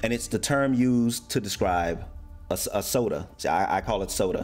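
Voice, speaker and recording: Music in the background behind a man of medium pitch, moderate pace and very wide pitch swings. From United States. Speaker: American expat YouTuber living in Germany. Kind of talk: casual talk to camera.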